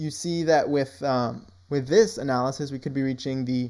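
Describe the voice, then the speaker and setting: Dark, mellow male speech with ordinary pitch variation. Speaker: crypto market analyst. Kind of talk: screen-share tutorial. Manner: occasionally stutters over words; casual, many fillers.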